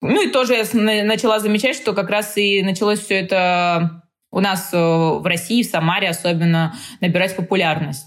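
Using a normal speaking voice, a woman talks at a moderate pace and medium pitch, with ordinary pitch variation and very even loudness. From Tajikistan (Dushanbe), moved to Samara as a child. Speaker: fitness trainer. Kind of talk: casual interview chat.

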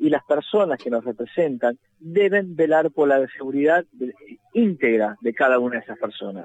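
A man with a plain, everyday voice and a fairly high pitch speaks at a fairly slow pace in a dry, close sound with no echo. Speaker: road safety activist. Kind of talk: phone interview.

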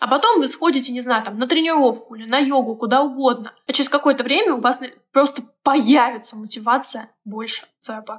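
A woman with a high-pitched voice talks fairly quickly. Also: ordinary pitch variation, big swings in loudness. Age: 20s. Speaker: financial coach. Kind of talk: interview; guided exercise.

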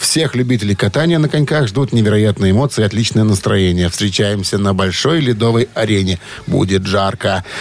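A man speaks at a moderate pace in a fairly low voice, with noticeable background noise. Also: ordinary pitch variation. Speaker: radio host. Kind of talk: casual chat. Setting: studio.

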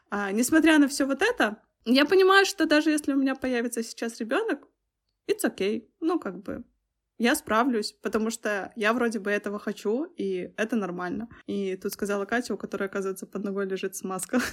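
A woman's fairly high voice, an unremarkable speaking voice, with lively intonation at a fairly quick pace. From Belarus. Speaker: visual effects artist and designer. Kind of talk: casual chat.

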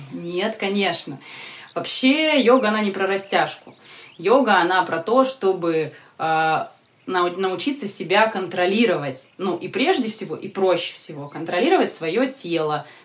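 Speaking at a fairly slow pace, a woman uses a normal speaking voice at medium pitch. Her intonation is lively. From Siberia, Novosibirsk. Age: 30s. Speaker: yoga teacher. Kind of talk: casual interview.

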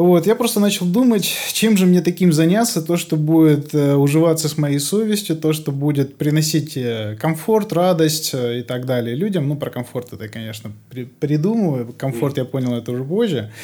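Lively intonation runs through a man's fairly high voice with its dark, mellow tone. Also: moderate pace. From rural Russia. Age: 30s. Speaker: soundproofing expert. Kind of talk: casual interview.

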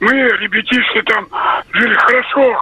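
The man's voice is extremely high in pitch. Noticeable background noise runs underneath. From Russia, Tver region. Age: 70s. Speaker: radio caller. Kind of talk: phone-in storytelling. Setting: phone call.

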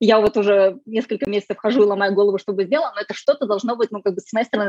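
In a dry, close sound with no echo, the voice runs at a very fast pace with hardly any pauses, fairly even intonation and a dark, mellow tone. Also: woman. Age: 30s. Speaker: sustainability consultant, former geneticist. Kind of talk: casual interview.

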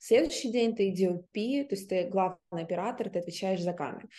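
A woman's dark, mellow voice at medium pitch, with ordinary pitch variation and a moderate pace. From Russia. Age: 30s. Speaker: theatre director and film student. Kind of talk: interview.

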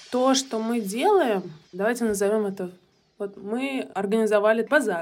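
A woman at a moderate pace uses an unremarkable speaking voice, fairly high in pitch with ordinary pitch variation. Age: 30s. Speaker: digital marketer and volunteer. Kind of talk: recorded voice message testimony.

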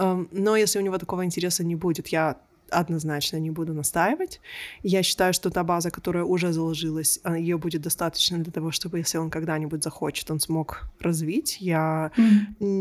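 A woman with a plain, everyday voice talks at a moderate pace, with fairly low pitch and fairly even intonation. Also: very clean recording, silent background. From Israel. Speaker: coach and researcher. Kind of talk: interview conversation.

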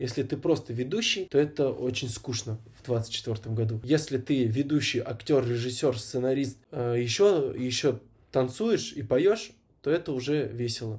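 A man speaks somewhat breathily at a fairly slow pace. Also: medium pitch for a man, ordinary pitch variation. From Kazakhstan, Almaty. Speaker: actor and event host. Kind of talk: casual interview.

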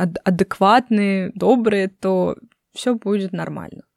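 A woman speaks at medium pitch and a moderate pace, with fairly even intonation. Her tone is dark and mellow, and the sound is dry and close with no echo. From Russia. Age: 20s. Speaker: podcast host. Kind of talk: casual chat.

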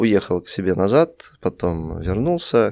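A man with an unremarkable speaking voice talks at a fairly low pitch with lively intonation. The sound is dry and close, with no echo. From Russia. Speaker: tea shop founder. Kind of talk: casual interview.

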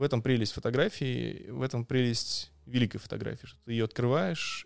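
A normal speaking voice from a man, medium in pitch, at a moderate pace with fairly even intonation, on a very clean recording with a silent background. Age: 30s. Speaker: street photographer. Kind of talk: casual chat. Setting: live stream recorded at the host's home.

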